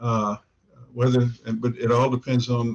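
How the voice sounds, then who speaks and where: This man's voice sits at a medium pitch and sounds somewhat breathy. He speaks at a moderate pace. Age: 60s. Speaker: newspaper columnist. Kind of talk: interview. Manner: halting, many fillers.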